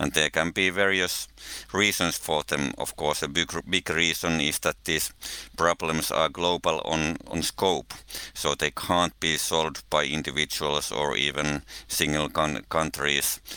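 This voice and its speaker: The speaker goes at a fairly slow pace with a Finnish accent, a bright, sharp tone and fairly even intonation, on a very clean recording with a silent background and a dry, close sound with no echo. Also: man, very deep, low pitch for a man. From Finland. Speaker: researcher of religion and ecology, podcast co-host. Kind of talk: casual interview conversation.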